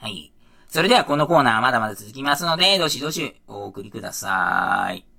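A man with a fairly high pitch talks at a fairly quick pace, his pitch swinging very widely and his loudness rising and falling in big swings. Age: 40s. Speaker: podcast host. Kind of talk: casual solo podcast talk. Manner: casual, rambling, filler-heavy.

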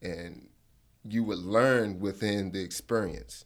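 Very deep and low, a man's voice moves at a fairly slow pace with an American accent. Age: 20s. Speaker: fishing instructor and business owner. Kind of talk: interview. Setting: studio.

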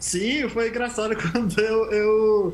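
A man speaks at an extremely high pitch. Noticeable background noise runs underneath. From Brazil, Bahia interior (sertão). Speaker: immunologist scientist. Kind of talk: interview. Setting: video call.

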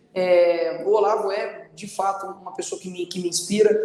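Behind a fairly even intonation sits noticeable background noise. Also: man. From Brazil, Belo Horizonte (Minas Gerais). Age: 20s. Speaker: political candidate and online content creator. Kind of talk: casual chat.

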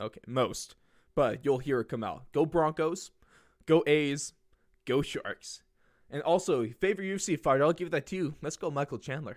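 The speech has a moderate pace and ordinary pitch variation, with a dry, close sound and no echo. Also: man. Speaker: college student and sports podcaster. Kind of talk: casual chat. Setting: video call. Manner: animated.

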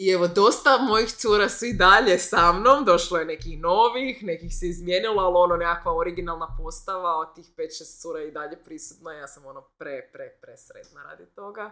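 A woman speaks at a moderate pace in a medium pitch, her bright, sharp tone carried by lively intonation and big swings in loudness. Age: 30s. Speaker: entrepreneur and yoga instructor. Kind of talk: casual chat.

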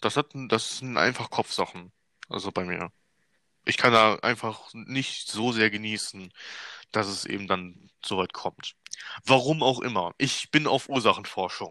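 On a very clean recording with a silent background and a dry, close sound with no echo, a man with a bright, sharp tone speaks with ordinary pitch variation and long, frequent pauses. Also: medium pitch for a man, fairly slow pace. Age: 20s. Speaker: podcast co-host. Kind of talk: casual chat.

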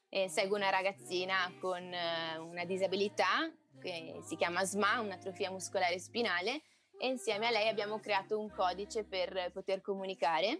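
Her voice is an unremarkable speaking voice: a woman at medium pitch, moderate pace and ordinary pitch variation. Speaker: singer. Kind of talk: casual interview.

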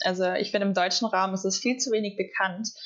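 An unremarkable speaking voice carries normal pitch movement throughout. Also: woman. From southern Germany. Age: 20s. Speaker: former exchange student. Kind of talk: casual chat.

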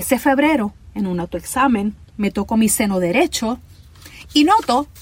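A woman's fairly high voice in a Puerto Rican accent, with very wide pitch swings and a fairly slow pace. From Puerto Rico, Ponce. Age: 50s. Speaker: podcast host, cancer survivor. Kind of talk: personal storytelling narration.

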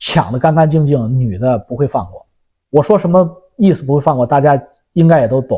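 A man's voice, dark and mellow in tone and somewhat breathy, moves along at a fairly quick tempo. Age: 50s. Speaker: YouTuber answering viewer questions. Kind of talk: casual monologue commentary.

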